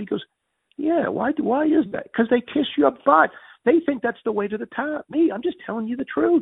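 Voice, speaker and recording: A man with a New England accent speaks at a fairly quick pace. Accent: Yankee. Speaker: business executive. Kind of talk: interview storytelling.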